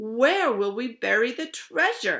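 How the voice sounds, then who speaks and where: A woman bellows in a put-on character voice with a high pitch. She delivers it at a fairly slow pace. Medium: read story. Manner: bellowing, rowdy.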